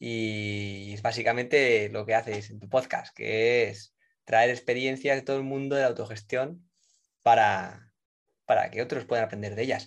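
Over a quiet background, a man with a Spanish accent talks at a medium pitch and a fairly slow pace, his intonation fairly even but his loudness swinging widely. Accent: Peninsular Spanish. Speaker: podcast host, consultant. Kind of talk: interview. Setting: live online recording.

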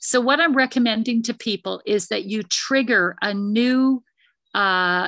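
A woman's bright, sharp voice with a Canadian accent, moderate in pace, with ordinary pitch variation and a dry, close sound with no echo. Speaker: former investment advisor. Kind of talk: presentation with Q&A. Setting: video call.

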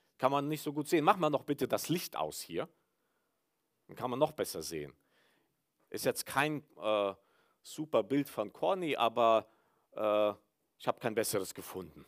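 In a very clean, dry, close recording with no echo and a silent background, a man with vocal fry speaks at a moderate pace, with very wide pitch swings, big swings in loudness and long, frequent pauses. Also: medium pitch for a man. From Mennonite village in Kyrgyzstan. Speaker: pastor. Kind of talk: sermon. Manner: hesitant, many filler sounds.

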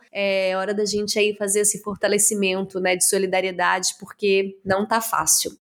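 A woman speaks at a medium pitch with monotone, flat intonation and very even loudness. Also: moderate pace. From Brazil, interior of Minas Gerais. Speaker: podcast host. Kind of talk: interview.

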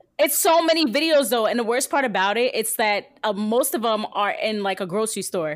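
Hardly pausing at all, a woman with an unremarkable speaking voice talks at a fairly quick pace in a fairly high pitch with lively intonation, captured in a very clean recording against a silent background. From New Jersey. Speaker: radio host. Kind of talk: casual chat.

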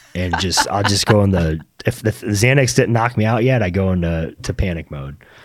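A man with an American accent speaks in a plain, everyday voice at a moderate pace. His pitch is fairly low and his intonation lively. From US South, Naples, Florida. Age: 30s. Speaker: real estate brokerage owner. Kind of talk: casual chat. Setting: studio.

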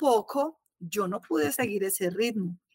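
With lively intonation, a woman speaks in a bright, sharp tone, the sound dry and close with no echo. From Colombia, Salento (Quindío). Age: 40s. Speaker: architect. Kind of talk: casual chat.

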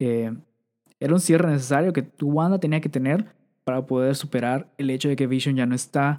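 At a fairly quick pace, a man talks with a Mexican accent. His pitch is fairly high, and his tone is dark and mellow. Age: 20s. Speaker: podcast host. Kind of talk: casual chat. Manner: animated.

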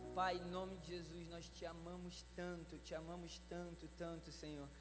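A man at a moderate pace, with audible room echo. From Brazil. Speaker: pastor. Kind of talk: sermon. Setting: church conference with live audience.

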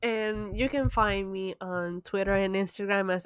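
A woman's medium-pitched voice in a Puerto Rican accent, monotone and flat, at a moderate pace on a very clean recording with a silent background. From Puerto Rico. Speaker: podcast co-host. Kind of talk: casual chat.

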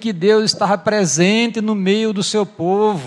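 Speaking at a very slow pace, a man with a high pitch shows ordinary pitch variation. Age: 70s. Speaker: pastor. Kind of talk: sermon. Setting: church.

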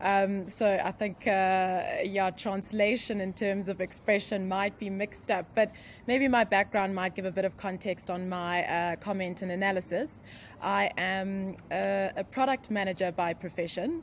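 In a South African accent, a woman speaks at a fairly slow pace and medium pitch, with ordinary pitch variation. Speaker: internet and digital marketing expert. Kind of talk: casual interview chat. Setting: remote call, computer mic, noisy background.

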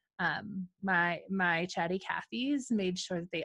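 A woman's plain, everyday voice, medium in pitch with ordinary pitch variation, over a quiet background. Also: dry, close sound with no echo. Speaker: podcast host and coach. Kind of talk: interview chat.

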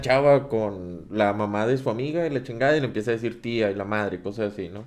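Here a man speaks at a fairly quick pace with ordinary pitch variation. He has an ordinary speaking voice. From Monterrey, Mexico. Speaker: podcast host. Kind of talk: casual chat.

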